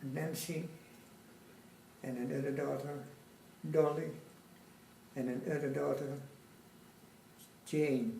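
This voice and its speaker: Noticeable background noise and audible room echo surround a very slow delivery with long, frequent pauses and ordinary pitch variation. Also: man, fairly high pitch for a man. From Dutch East Indies (Java), Surabaya. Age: 90s. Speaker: war veteran. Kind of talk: oral history interview.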